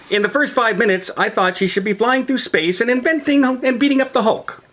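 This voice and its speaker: Over noticeable background noise, a man with an extremely high pitch talks at a fairly quick pace, his pitch varying in an ordinary way and his loudness staying very even. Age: 60s. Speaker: movie reviewer. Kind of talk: casual chat.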